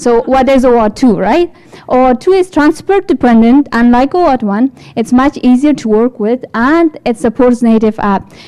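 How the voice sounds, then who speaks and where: With an Afghan accent, a woman speaks at a moderate pace. Her pitch is high and her intonation lively. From Afghanistan. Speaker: developer support engineer. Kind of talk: tech talk. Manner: halting.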